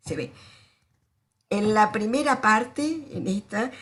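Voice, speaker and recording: A woman speaks at medium pitch and a moderate pace. Her voice is somewhat breathy, with lively intonation. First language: Spanish. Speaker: sociologist professor. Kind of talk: lecture.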